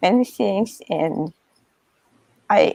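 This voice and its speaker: Speaking very slowly, a woman with a medium pitch, dark, mellow tone and vocal fry uses lively intonation, in a dry, close sound with no echo. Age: 70s. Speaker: photography studio owner. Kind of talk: interview. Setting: video call.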